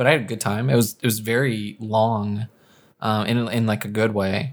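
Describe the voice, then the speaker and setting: Monotone, flat intonation from a man at a fairly low pitch and moderate pace, in a very clean recording with a silent background. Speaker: podcast co-host. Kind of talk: casual chat.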